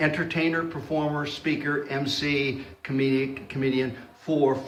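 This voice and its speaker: Over noticeable background noise and audible room echo, a man talks at a fairly slow pace with a fairly high pitch and fairly even intonation. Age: 60s. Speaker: comedian. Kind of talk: interview.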